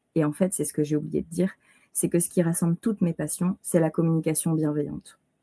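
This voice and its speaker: A woman's fairly low, dark, mellow voice with fairly even intonation, dry and close with no echo. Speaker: Montessori educator and nonviolent communication facilitator. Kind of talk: podcast interview.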